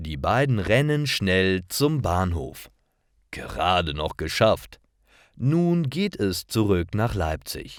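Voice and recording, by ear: Slow speech with big pitch swings on a very clean recording with a silent background. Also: man, low pitch for a man.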